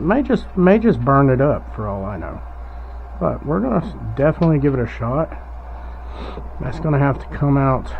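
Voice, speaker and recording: A mumbling man at a moderate pace, noticeable background noise. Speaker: hobbyist doing a DIY electronics mod. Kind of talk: casual tutorial. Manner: mumbling, thinking aloud.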